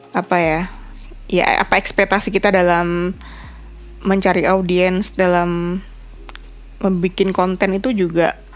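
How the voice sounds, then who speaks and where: A woman's medium-pitched, monotone voice, flat in intonation, at a fairly slow pace with long, frequent pauses. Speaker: podcaster and content creator. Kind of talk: solo casual vlog-style podcast. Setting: bedroom.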